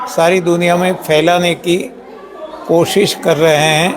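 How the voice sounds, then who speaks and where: Audible room echo accompanies a man's high voice, which shows ordinary pitch variation. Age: 70s. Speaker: health system founder. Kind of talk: interview. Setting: live stream.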